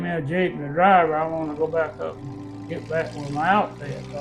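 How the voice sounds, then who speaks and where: Moderate-paced speech with a Southern US accent, music in the background. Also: man. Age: 80s+. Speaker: Korean War veteran. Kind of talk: interview answer.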